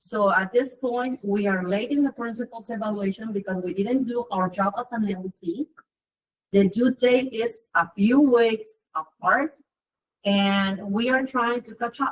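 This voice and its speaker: A woman with a fairly high, somewhat breathy voice talks at a fairly slow pace with ordinary pitch variation. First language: Spanish. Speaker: parent member of school council. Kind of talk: public meeting report.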